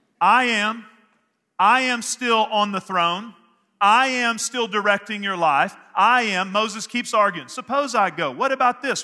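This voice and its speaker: A man with a Texan accent uses a raised, projected voice at a high pitch. His tone is bright and sharp. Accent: Texan American English. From Northeast Texas. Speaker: pastor. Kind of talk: sermon. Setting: church service with congregation. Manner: animated.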